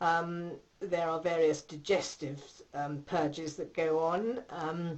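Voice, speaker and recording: A woman's fairly low, fairly even voice at a very slow pace. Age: 60s. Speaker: patient. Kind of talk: testimony. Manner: hesitant, many fillers.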